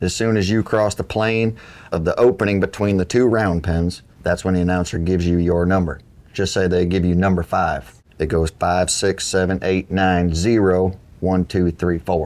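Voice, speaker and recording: Very deep and low, a man's voice with an American accent moves at a moderate pace with fairly even intonation. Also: very even loudness. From upstate New York. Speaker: cattle sorting competitor. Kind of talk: interview.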